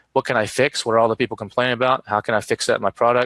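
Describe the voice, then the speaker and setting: A man talks at a medium pitch with a Texan accent. The recording is dry and close, without echo. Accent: Texan American English. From Texas. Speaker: Amazon seller and marketing expert. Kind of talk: live streamed interview. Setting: live online stream. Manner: fast.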